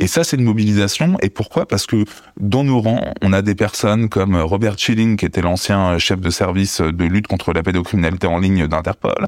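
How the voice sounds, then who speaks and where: Keeping his loudness very even, a man with a fairly low pitch talks at a fairly quick pace with ordinary pitch variation. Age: 40s. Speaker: abuse survivor and activist. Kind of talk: testimony. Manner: halting.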